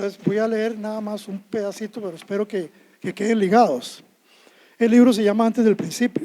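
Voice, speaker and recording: Fairly quick delivery in a Costa Rican accent, intonation fairly even. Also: man, high pitch for a man. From Costa Rica, Alajuela. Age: 70s. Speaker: poet. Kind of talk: poetry reading; humorous anecdote on stage. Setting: stage with audience.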